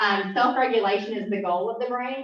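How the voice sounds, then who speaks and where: Fairly quick speech from a woman, with audible room echo and noticeable background noise. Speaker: neurofeedback business owner, guest speaker. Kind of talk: presentation to a club meeting. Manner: fast.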